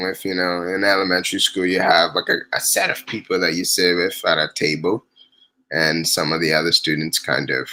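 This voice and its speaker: At a fairly quick pace, a man talks with a very deep, low pitch and a bright, sharp tone. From refugee camp in Tanzania, born in DR Congo. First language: not English. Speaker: refugee storyteller. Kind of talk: interview. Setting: livestream. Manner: hesitant, many fillers.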